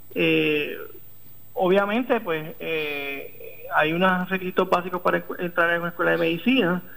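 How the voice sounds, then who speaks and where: A man speaks with a Puerto Rican accent. His pace is fairly slow. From Puerto Rico, Arecibo. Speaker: neurosurgeon. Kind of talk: interview. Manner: halting, many fillers.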